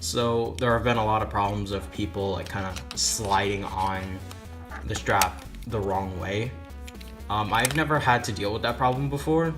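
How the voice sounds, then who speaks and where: Music plays in the background as a man talks at a moderate pace. His voice is fairly low and his pitch swings very widely. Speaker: gaming YouTuber. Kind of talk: video game review talk. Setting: home recording with mic issues.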